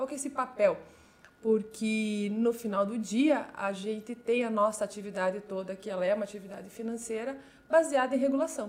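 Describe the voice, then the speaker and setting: Ordinary pitch variation and a moderate pace mark an ordinary speaking voice. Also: woman, fairly high pitch for a woman. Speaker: compliance and regulatory affairs manager at a fintech. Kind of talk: interview.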